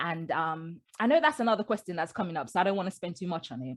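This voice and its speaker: Against a quiet background, a woman with a medium pitch speaks in very wide pitch swings. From Britain, Jamaican family. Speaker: memoir author. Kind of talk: interview.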